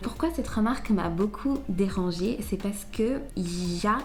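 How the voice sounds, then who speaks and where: Audible room echo and noticeable background noise surround a woman who speaks at a fairly slow pace. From Angola, then Switzerland from childhood. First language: Portuguese (speaking French). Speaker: vlogger. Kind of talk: personal reflection vlog. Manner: hesitant, many fillers.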